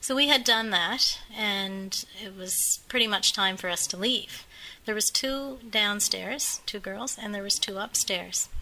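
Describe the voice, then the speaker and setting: Medium-pitched woman's voice at a fairly slow pace, ordinary pitch variation, noticeable background noise. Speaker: costume guide at a museum. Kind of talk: interview answer, telling a story. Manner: conversational, hesitant.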